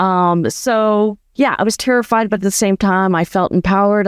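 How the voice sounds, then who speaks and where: A woman's normal speaking voice at medium pitch with ordinary pitch variation, on a very clean recording with a silent background and a dry, close sound with no echo. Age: 60s. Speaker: former veterinarian turned nomad and community founder. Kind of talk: interview conversation.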